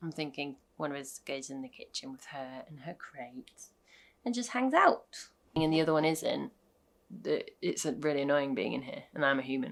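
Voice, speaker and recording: Speaking at a moderate pace with a British accent, a woman uses a very deep, low pitch that swings very widely, with big shifts in loudness. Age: 30s. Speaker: vlogger, small business owner. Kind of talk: casual chat.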